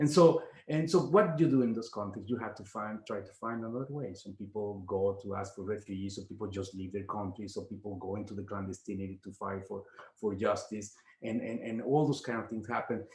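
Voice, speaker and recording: A man with a Spanish accent talks at a fairly quick pace, his voice somewhat breathy. His pitch is fairly low with ordinary variation, and his loudness swings widely. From Mexico. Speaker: professor and activist. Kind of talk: interview. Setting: video call. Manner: halting, many repetitions.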